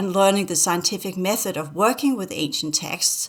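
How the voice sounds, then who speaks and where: A woman speaks at medium pitch with a Danish accent. Her intonation is fairly even. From Denmark. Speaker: spiritual teacher. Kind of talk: casual chat. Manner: halting.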